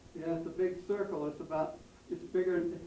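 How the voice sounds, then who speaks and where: In an American accent, a man speaks at a high pitch with monotone, flat intonation, and audible room echo surrounds him. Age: 80s+. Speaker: elderly local resident. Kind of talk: interview with schoolchildren. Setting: classroom. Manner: halting.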